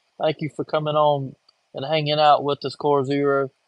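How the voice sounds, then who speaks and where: Speaking at a fairly quick pace, a man with a strong Southern US accent has a fairly high pitch. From coastal North Carolina, Wilmington. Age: 40s. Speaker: livestreamer, construction worker. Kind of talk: casual livestream chat. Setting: livestream from home, in his chair.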